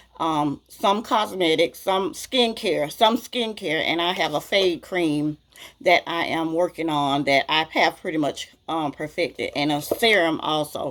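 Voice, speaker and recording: With a strong Southern US accent, a woman at a fairly low pitch talks at a fairly slow pace with lively intonation. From US South. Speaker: beauty vlogger. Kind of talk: casual Q&A vlog. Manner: chatty, talkative.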